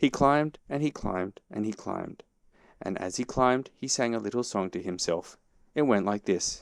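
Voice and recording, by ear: This is reading aloud in a natural voice. The intonation is lively.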